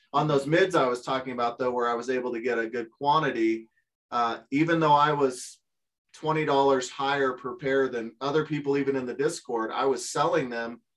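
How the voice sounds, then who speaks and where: A man speaks in an ordinary speaking voice, medium in pitch, with fairly even intonation. His pace is moderate. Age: 50s. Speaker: part-time online reseller. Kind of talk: casual interview.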